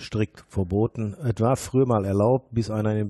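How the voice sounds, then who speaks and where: Against a quiet background, a man speaks at a fairly low pitch. His tone is dark and mellow, and his intonation fairly even. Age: 50s. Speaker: former miner and mine rescue member. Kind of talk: interview. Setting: office in a former mine.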